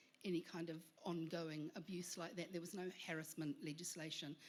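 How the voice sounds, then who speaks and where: Here is a woman with an unremarkable speaking voice. Her pitch is fairly low and her pace moderate. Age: 60s. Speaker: panel guest. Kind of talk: panel discussion.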